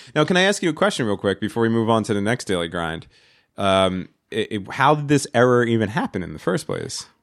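A man talks at a fairly quick pace in an animated tone. His pitch swings very widely. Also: medium pitch for a man, very clean recording, silent background. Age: 30s. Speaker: podcast host. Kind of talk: casual chat. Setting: studio.

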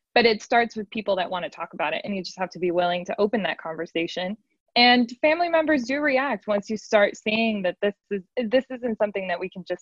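Big swings in loudness mark this woman's normal speaking voice, which has a medium pitch, lively intonation and a fairly quick pace. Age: young. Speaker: podcast producer. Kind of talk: panel discussion.

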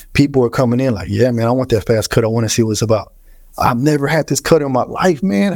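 A man rattles along at a very fast pace in an American accent. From Houston, Texas. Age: 30s. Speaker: barber. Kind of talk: casual chat.

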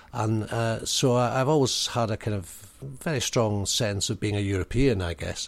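Moderate pace, ordinary pitch variation, and a Highland Scottish accent, in a very clean recording with a silent background. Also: man, fairly low pitch for a man. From Scottish Highlands. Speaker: actor, writer and theatre director. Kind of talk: casual interview. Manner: halting.

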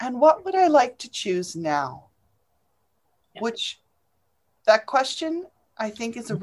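A woman at a fairly slow pace, with very wide pitch swings, big swings in loudness, and long, frequent pauses. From England. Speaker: podcast co-host, coach. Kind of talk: casual chat.

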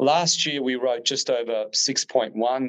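An Australian-accented man with ordinary pitch variation. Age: 30s. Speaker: real estate agent. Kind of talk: interview.

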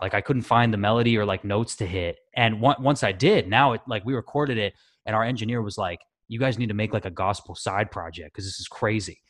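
Against a quiet background, a man with an American accent speaks fairly quickly in a fairly low voice with ordinary pitch variation. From US West Coast, Washington state. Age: 20s. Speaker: singer in a band. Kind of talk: casual interview chat.

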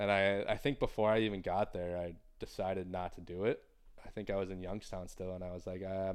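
A man with an American accent speaks very fast at a fairly low pitch with monotone, flat intonation. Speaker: professional hockey player. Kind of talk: casual interview. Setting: studio. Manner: mumbling.

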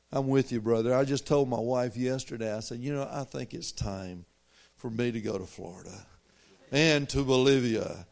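This is a man with a Southern US accent. His pitch is medium. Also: very clean recording, silent background. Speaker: visiting preacher. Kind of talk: sermon. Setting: church.

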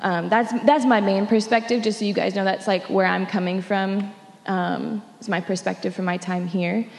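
Against noticeable background noise, a woman speaks at medium pitch and a moderate pace with fairly even intonation. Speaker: sixth grade teacher. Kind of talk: panel discussion.

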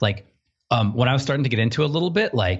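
His intonation is lively. The man's voice comes across as somewhat breathy. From small-town upbringing. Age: 30s. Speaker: designer. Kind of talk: casual chat.

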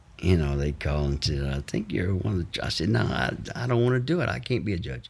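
In a Mississippi accent, a man speaks at a very deep, low pitch that makes very wide swings. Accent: Southern US (Mississippi). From US South, Mississippi. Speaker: actor. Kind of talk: casual chat. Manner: animated; talkative.

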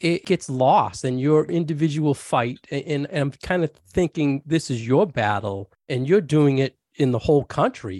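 This man has a normal speaking voice, fairly high in pitch, with lively intonation at a moderate pace. The sound is dry and close, without echo. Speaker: podcast co-host. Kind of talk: casual interview.

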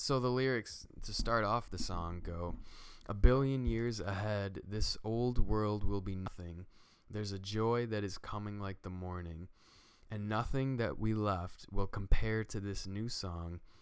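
In an ordinary speaking voice, a man talks at a fairly slow pace, fairly low in pitch, with fairly even intonation and big swings in loudness. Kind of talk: casual faith discussion.

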